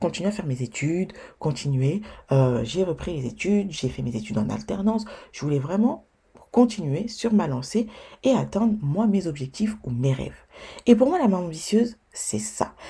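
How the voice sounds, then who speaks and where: A woman with a dark, mellow tone and vocal fry speaks at a moderate pace and fairly low pitch, her pitch swinging very widely. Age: 20s. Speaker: podcast host and blogger. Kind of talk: solo podcast monologue.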